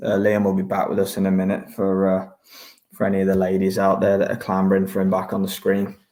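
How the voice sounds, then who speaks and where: A man speaks in a fairly low register with a dark, mellow tone. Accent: British. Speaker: boxing watchalong host. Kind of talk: casual chat. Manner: hesitant, many fillers.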